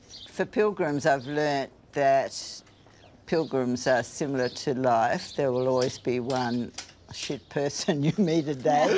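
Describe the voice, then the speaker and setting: At a fairly slow pace, a woman with an Australian accent speaks in a very deep, low pitch. Her pitch variation is ordinary. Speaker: retired psychologist hosting pilgrims. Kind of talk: casual conversation.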